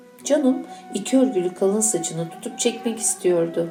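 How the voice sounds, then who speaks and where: With music in the background, a woman of medium pitch speaks at a fairly slow pace with lively intonation. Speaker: teacher. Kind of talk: reading aloud. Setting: school event.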